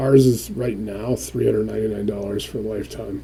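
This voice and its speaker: Noticeable background noise surrounds this man. His pitch is fairly low and his intonation fairly even. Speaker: real estate investing trainer. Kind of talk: live webinar demo. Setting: video call. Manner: fast.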